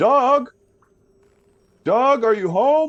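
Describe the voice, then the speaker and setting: A loud, booming put-on character voice with a fairly high pitch. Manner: loud, calling out.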